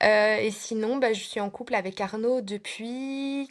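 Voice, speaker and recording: Very slowly, a woman speaks with a slight Belgian accent. Her pitch is fairly high, with ordinary variation. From Belgium. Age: 30s. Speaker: preschool teacher. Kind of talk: casual interview.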